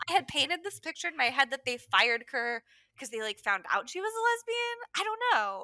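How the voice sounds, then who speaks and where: A raised, projected voice with a bright, sharp tone, very wide pitch swings, a fairly quick pace and a dry, close sound with no echo. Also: woman, high pitch for a woman. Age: 30s. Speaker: podcast co-host. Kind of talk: casual chat. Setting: recorded in a shed.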